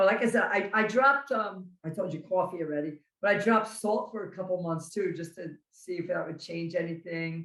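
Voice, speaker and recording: Here a woman talks with a New Jersey accent. She keeps a fairly quick pace and ordinary pitch variation. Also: medium pitch for a woman. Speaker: carnivore diet content creator. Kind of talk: casual chat.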